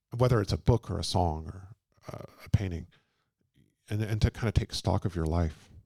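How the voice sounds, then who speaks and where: A man with a Texan accent speaks at a moderate pace in a dark, mellow tone. The sound is dry and close with no echo, and his pitch varies in an ordinary way. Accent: Texan American English. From Texas (Houston). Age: 40s. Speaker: biographer and translator. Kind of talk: live book talk conversation. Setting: bookshop event with audience.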